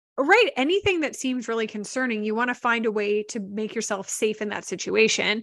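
Against a quiet background, a woman with a plain, everyday voice, fairly high in pitch with ordinary pitch variation, speaks at a fairly quick pace with hardly any pauses. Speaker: podcast co-host. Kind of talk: casual chat.

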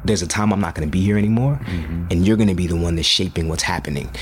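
Noticeable background noise runs behind a man talking at a very fast pace. His voice is very deep and low, with ordinary pitch variation. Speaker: educator and hip hop artist. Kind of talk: casual chat.

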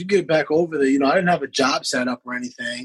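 Fairly high in pitch and at a fairly quick pace, a man talks with an American accent in a dry, close sound with no echo. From upstate New York. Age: 30s. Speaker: lacrosse player and teacher. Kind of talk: casual interview chat. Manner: animated.

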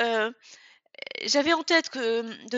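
A woman speaks with a fairly high pitch. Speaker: author and former executive. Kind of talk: interview. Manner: halting, many fillers.

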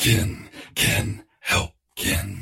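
A croaky, put-on character voice. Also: man. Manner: croaking.

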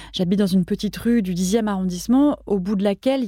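Very fast and somewhat breathy, the voice has a dark, mellow tone and ordinary pitch variation, recorded dry and close with no echo on a very clean track with a silent background. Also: woman. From France, Paris. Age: 40s. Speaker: food journalist and radio columnist. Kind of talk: casual interview conversation.

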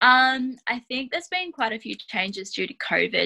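A woman's bright, sharp tone at a moderate pace, with a dry, close sound and no echo. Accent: rural Australian. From Australia, western New South Wales. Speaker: sheep and wool specialist. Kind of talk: casual interview.

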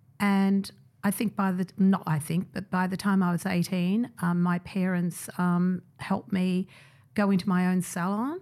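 In an Australian accent, a woman speaks at a fairly slow pace. Her medium-pitched voice stays monotone and flat. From migrant family, raised in Australia. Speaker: hairdresser and creative director. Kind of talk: interview.

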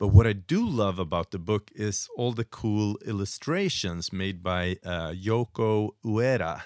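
In a dry, close sound with no echo, a man with a fairly low pitch talks at a fairly slow pace with ordinary pitch variation and hardly any pauses. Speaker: bartender podcast co-host. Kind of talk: casual chat.

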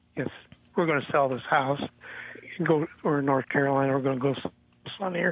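Man at a fairly high pitch and fairly quick pace, fairly even intonation, long and frequent pauses, noticeable background noise. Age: 70s. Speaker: caller. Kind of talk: radio call-in question. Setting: phone call.

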